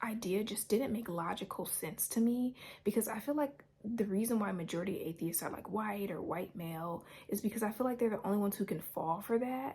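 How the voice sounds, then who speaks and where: Quiet and somewhat breathy, the voice moves at a fairly quick pace. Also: woman, fairly high pitch for a woman, ordinary pitch variation. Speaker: YouTuber sharing a religious dream. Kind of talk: personal testimony to camera. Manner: quiet, holding voice down; halting, with repetitions and fillers.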